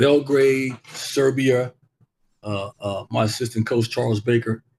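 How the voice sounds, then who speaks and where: Speaking at a very slow pace, a man keeps a medium pitch and a fairly even intonation. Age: 60s. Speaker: basketball coach and former NBA player. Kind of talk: interview. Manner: halting, repeats words.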